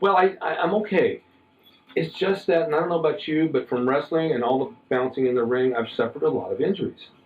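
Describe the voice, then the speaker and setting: A man with a fairly high pitch talks at a very fast pace, with noticeable background noise. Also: lively intonation. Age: 70s. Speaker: interview show host, former wrestler. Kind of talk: casual interview chat.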